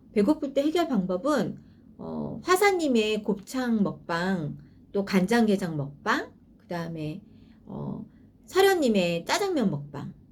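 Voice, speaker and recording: A woman speaks very slowly in a somewhat breathy, medium-pitched voice whose pitch swings very widely. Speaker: YouTuber sharing personal dental experience. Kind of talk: personal review vlog. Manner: some hesitations and filler sounds.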